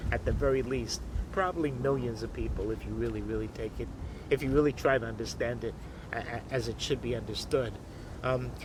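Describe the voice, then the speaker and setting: A man's voice with audible room echo. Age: 70s. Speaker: activist and author. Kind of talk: monologue explaining his book. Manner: halting, many fillers and repetitions.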